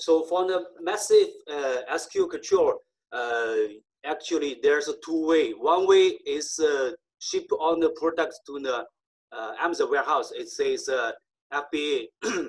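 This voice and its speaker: Someone with a Chinese accent speaks at a fairly slow pace. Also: man. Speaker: conference speaker on online selling. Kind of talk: conference talk. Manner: halting, many fillers.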